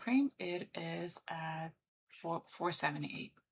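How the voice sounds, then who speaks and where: A woman speaks with a Lithuanian accent. Her tone is bright and sharp, with vocal fry. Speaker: trader and livestreamer. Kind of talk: live trading commentary. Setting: livestream. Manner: casual, chatty.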